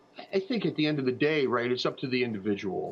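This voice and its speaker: There's noticeable background noise as a man talks at a fairly quick pace with a fairly high pitch. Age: 60s. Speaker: funeral planning platform founder. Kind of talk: TV interview. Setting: TV news streaming broadcast. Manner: halting, many fillers and repeats.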